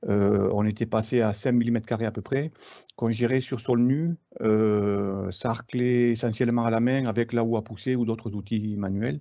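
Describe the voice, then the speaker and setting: This man's voice has a medium pitch. He speaks at a moderate pace with fairly even intonation. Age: 60s. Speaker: market gardener. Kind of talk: webinar presentation. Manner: halting, many hesitations.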